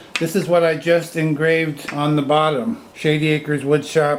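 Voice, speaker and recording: The speaker has an American accent, and noticeable background noise can be heard. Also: man. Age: 70s. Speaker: woodturner and hobby channel host. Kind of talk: off-the-cuff product demonstration. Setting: indoors, family room at home. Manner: halting, stammering.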